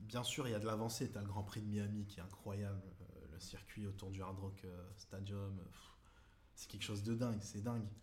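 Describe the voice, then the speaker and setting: A man with a fairly low voice speaks at a moderate pace in fairly even intonation, with audible room echo and noticeable background noise. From Toulon, southern France. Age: 20s. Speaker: amateur rugby player. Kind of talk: casual interview. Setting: at the guest's home.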